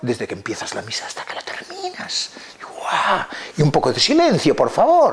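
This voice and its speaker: Whispering at a moderate pace, a man swings widely in loudness over noticeable background noise. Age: 70s. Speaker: lexicologist and Latin expert. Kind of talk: interview talk. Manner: halting, with many fillers.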